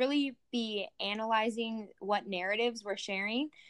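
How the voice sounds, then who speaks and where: With an American accent, a woman talks at a fairly slow pace in a fairly high pitch, an unremarkable speaking voice. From rural US. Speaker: agriculture education student. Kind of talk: casual interview.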